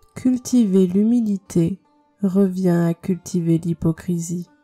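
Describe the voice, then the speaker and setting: A calm woman speaks at a very slow pace and a medium pitch. The sound is dry and close with no echo, with music in the background. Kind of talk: meditation quote reading. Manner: slow, calm.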